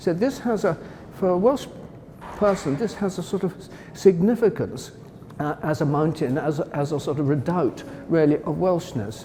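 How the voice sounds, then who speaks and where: A man speaks at a moderate pace in a high pitch with lively intonation. He leaves long, frequent pauses. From Wales. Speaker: art historian, former gallery director. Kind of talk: interview about a painting. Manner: enthusiastic, with hesitations and self-corrections.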